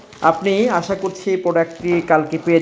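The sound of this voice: A man speaks at a moderate pace in a fairly high pitch. His intonation stays fairly even.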